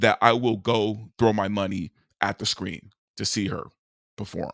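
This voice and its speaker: On a very clean recording with a silent background, a man with a medium-pitched voice speaks slowly in a bright, sharp, animated tone, his pitch varying in an ordinary way. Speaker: movie commentary youtuber. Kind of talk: opinion monologue. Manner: stuttering, repetitive.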